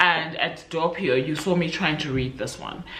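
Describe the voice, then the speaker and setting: A woman speaks at a moderate pace with fairly even intonation, with audible room echo and noticeable background noise. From South Africa. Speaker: book vlogger. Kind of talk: casual vlog chat. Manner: relaxed, chatty.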